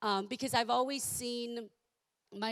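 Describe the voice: A woman's croaky, fairly bright voice at a moderate pace, with ordinary pitch variation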